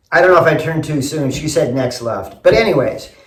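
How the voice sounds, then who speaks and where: A man with an American accent speaks at a fairly high pitch with ordinary pitch variation. His is a normal speaking voice. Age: 60s. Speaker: construction company owner. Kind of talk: audition video.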